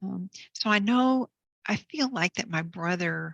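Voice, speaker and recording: A woman is speaking. The sound is dry and close, with no echo. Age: 60s. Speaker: author and near-death experience speaker. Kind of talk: interview testimony. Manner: halting.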